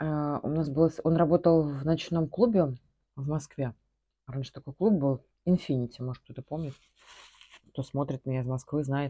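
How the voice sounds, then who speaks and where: With a dark, mellow tone and very deep, low pitch, a woman speaks with big swings in loudness and long, frequent pauses. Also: ordinary pitch variation, moderate pace, quiet background. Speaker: vlogger. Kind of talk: casual vlog chat, answering viewer questions. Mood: relaxed, reminiscing. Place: home room. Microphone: phone near.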